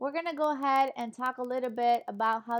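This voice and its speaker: A woman's high voice with a Spanish accent. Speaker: online English teacher. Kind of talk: online lecture class. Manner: animated.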